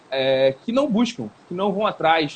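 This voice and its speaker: This man has a high-pitched voice. His pitch swings very widely. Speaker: personal trainer. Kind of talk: live stream conversation. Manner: fast.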